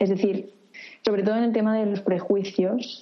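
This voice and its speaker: A woman talks at a medium pitch with fairly even intonation. Noticeable background noise sits behind her. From Catalonia, Reus. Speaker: architecture student. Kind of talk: interview. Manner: halting.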